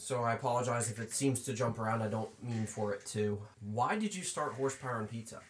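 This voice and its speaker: A man talks at a very fast pace in a medium pitch. His voice is somewhat breathy, with fairly even intonation. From US Northeast, Pennsylvania farmland. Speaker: podcast co-host, interviewer.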